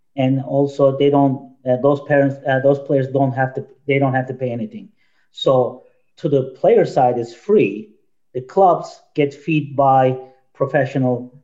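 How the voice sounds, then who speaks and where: With a Turkish accent, a man talks at a fairly slow pace in a dark, mellow tone. His pitch variation is ordinary. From Turkey. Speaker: youth soccer director and coach. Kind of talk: casual panel discussion.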